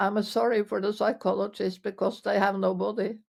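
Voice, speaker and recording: This woman has a Norwegian accent. Her pace is moderate. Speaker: physiotherapist. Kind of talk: interview answer. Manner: hesitant.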